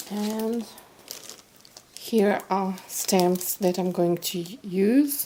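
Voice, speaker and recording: A woman with a non-native accent speaks at a very slow pace in a medium pitch with fairly even intonation. Noticeable background noise is present. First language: not English. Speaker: card-making crafter. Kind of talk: craft tutorial. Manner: halting, with fillers.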